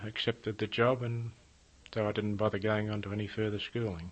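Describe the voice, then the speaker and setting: The intonation is monotone and flat. The voice carries an Australian accent. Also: man. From Australia, Melbourne, Victoria. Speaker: war veteran. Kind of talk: oral history interview. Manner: halting.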